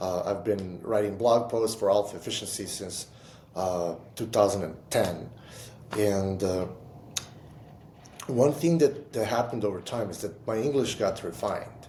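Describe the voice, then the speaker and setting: With audible room echo, a man talks at a moderate pace in a fairly low pitch, using ordinary pitch variation and long, frequent pauses. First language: not English. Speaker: entrepreneur and writer. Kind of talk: casual chat. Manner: halting, with repetitions.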